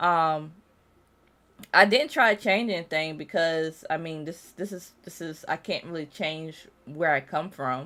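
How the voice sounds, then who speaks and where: Fairly slow speech from a woman, fairly low in pitch with a bright, sharp tone and big swings in loudness, on a very clean recording with a silent background. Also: ordinary pitch variation. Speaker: vtuber streamer. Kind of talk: casual live-stream chat. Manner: halting, frequent restarts.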